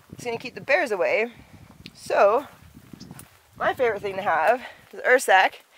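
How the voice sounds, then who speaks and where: A woman's voice with ordinary pitch variation, a dry sound with no echo, and light background noise. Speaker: solo hiker vlogger. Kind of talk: casual vlog chat. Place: forest. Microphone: phone near.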